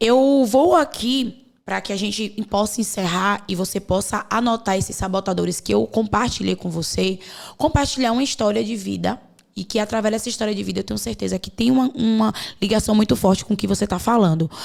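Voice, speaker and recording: A woman speaks at a fairly quick pace with vocal fry. Her pitch shows ordinary variation. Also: medium pitch for a woman. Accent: Bahian. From Bahia, Brazil. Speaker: podcast host and mentor. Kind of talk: podcast conversation.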